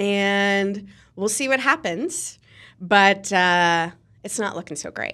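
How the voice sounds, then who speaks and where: In an American accent, a woman with a medium-pitched, bright and sharp voice speaks very slowly, her intonation lively and her loudness swinging widely, on a very clean recording with a silent background. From Ohio, Cincinnati (US Midwest). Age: 40s. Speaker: PR firm owner. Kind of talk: casual interview.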